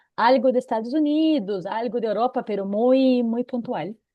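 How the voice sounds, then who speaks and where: A woman with a Brazilian accent speaks at a high pitch with ordinary pitch variation. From Brazil, interior of São Paulo state. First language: Portuguese (speaking Spanish). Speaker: SAP consultant and consulting firm owner. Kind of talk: seminar talk. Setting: online seminar video call.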